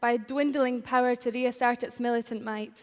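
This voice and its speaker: Her high-pitched voice moves at a fairly quick pace in a monotone, flat intonation. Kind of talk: political speech.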